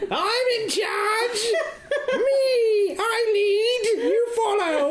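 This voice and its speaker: Over clear background noise, a put-on character voice with an extremely high pitch speaks at a very slow pace. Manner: bossy, shouting.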